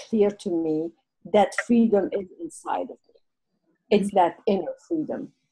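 A dark, mellow, somewhat breathy voice with a French accent. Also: woman. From Lebanon. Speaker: guest speaker. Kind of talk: interview answer. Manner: reflective, conversational.

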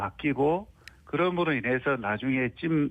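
An ordinary speaking voice belongs to this man, who has lively intonation. He goes at a fairly slow pace. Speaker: university professor of Korean language education. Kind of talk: radio interview answer. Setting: phone line.

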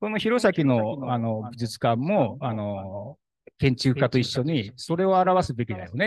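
A man at a medium pitch and fairly slow pace, with very wide pitch swings, big swings in loudness, and a very clean recording with a silent background. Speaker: brick craftsman. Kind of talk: talk at an awards event. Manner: casual, halting.

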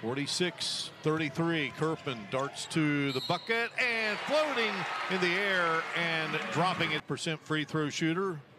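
The speech comes at a very slow pace with very even loudness. Noticeable background noise sits behind it. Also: man, high pitch for a man, ordinary pitch variation. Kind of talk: live sports play-by-play commentary.

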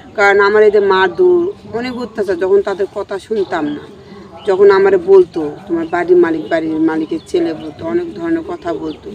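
A woman speaks with very wide pitch swings and big swings in loudness. The sound is dry with no echo, though light background noise is present. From Bangladesh, Gaibandha; Bangladesh. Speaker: returned migrant domestic worker. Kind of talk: personal testimony. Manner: halting. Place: garden.

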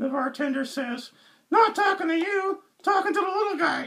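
A man puts on a character voice at an extremely high pitch. He talks at a fairly quick pace. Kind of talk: joke telling.

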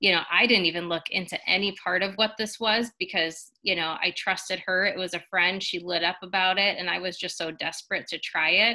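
A woman's voice at a fairly quick pace, with fairly even intonation, hardly any pauses and a quiet background. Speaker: guest. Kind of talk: personal testimonial talk. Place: home room. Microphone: webcam.

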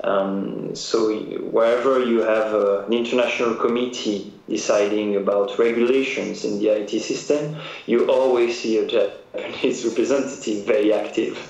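Speaking in a French accent, a man keeps a moderate pace and very even loudness. Audible room echo and noticeable background noise fill the recording. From France. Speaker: trade agency director. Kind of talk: interview.

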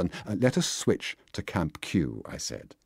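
A dramatic tone with vocal fry comes through on a very clean recording with a silent background. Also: man. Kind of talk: audiobook reading. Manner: measured, expressive narration with wry, dramatic delivery; formal literary diction, steady pace.

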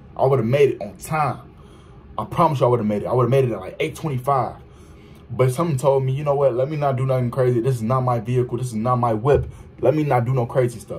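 Over light background noise, a man talks very fast in a somewhat breathy voice with fairly even intonation. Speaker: vlogger. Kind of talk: casual vlog chat, story time. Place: home room. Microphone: phone near.

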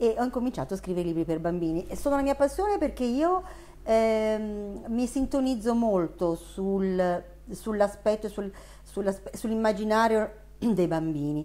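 With a Neapolitan accent, a woman talks at a fairly slow pace in a medium pitch, her intonation lively. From Milan, northern Italy. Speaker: children's book author. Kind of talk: interview; interview answer. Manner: hesitant, with fillers. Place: home room.

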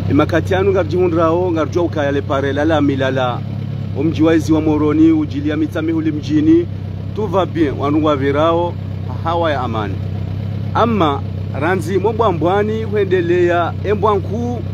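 A man speaks at a moderate pace with very wide pitch swings. The sound is dry with no echo, though noticeable background noise comes through. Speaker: amateur road reporter. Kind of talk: commentary. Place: car. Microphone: phone near.

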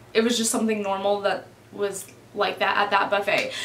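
A woman's voice with audible room echo. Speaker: vlogger. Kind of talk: casual storytime vlog chat. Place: home room.

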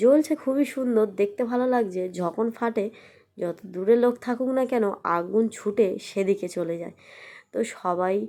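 On a very clean recording with a silent background, a woman's fairly high-pitched voice has a dark, mellow tone and ordinary pitch variation. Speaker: vlogger. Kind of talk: vlog narration.

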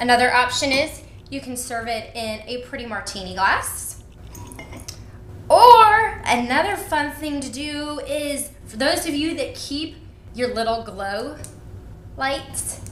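The speech is very slow, with long, frequent pauses and big swings in loudness. Light background noise and audible room echo are present. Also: woman, high pitch for a woman. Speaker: cooking show host. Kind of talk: tutorial. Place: kitchen.

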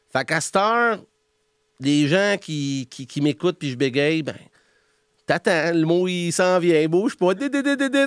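His pitch is high for a man and swings very widely. He keeps up a moderate pace. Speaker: host and entrepreneur. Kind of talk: interview answer. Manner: humorous.

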